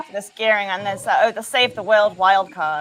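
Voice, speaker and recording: A woman at a medium pitch talks over noticeable background noise. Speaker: show host. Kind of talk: interview.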